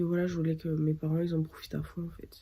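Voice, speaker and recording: Her dark, mellow tone is somewhat breathy as the woman speaks at a moderate pace with monotone, flat intonation. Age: 20s. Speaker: vlogger. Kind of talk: casual vlog talk to camera. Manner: hesitant, many fillers.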